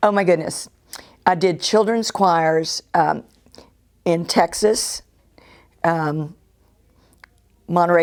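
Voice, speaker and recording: A woman's fairly low voice. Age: 70s. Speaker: composer and retired church choir director. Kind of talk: interview testimony. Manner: conversational with fillers.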